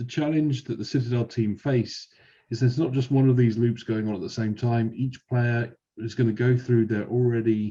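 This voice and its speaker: A man with a British accent speaks at a moderate pace and a medium pitch, his tone dark and mellow. His voice is somewhat breathy, and his intonation stays fairly even. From UK. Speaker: software company evangelist. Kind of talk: webinar presentation.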